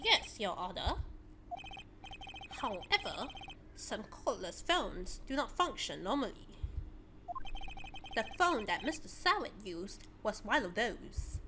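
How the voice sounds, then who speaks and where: Over clear background noise, a woman puts on a character voice at a fairly high pitch, going at a fairly slow pace with long, frequent pauses. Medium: solo performance. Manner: formal, assured.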